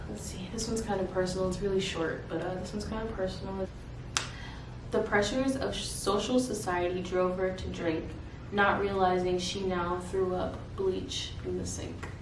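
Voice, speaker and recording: Over noticeable background noise, a woman talks at a moderate pace and medium pitch with fairly even intonation. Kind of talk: poetry reading. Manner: casual, hesitant.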